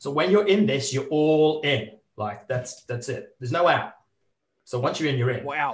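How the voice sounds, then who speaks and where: At a moderate pace, the voice is somewhat breathy with lively intonation. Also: man, fairly high pitch for a man. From northern England. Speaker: adventurer and corporate speaker. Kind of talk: casual interview.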